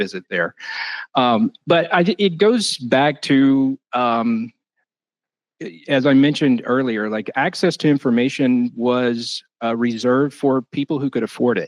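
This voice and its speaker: A man with an American accent talks at a fairly slow pace and a medium pitch, with ordinary pitch variation. The sound is dry and close, with no echo. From North Carolina. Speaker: library director. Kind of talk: panel discussion.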